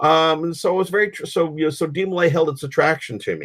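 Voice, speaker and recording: An American accent from a man at high pitch and a very fast pace. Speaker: fraternal organization leader. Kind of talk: interview. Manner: halting, many fillers and repetitions.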